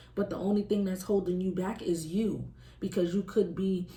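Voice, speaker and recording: Audible room echo colors a woman's dark, mellow tone. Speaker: tarot reader. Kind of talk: tarot reading. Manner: casual, conversational; loud normally, quieter today.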